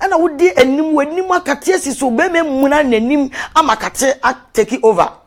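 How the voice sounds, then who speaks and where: With a high pitch and lively intonation, a woman speaks at a moderate pace against a quiet background. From Ghana. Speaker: love and relationship coach; relationship coach. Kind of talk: live video talk. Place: home room. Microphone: lapel.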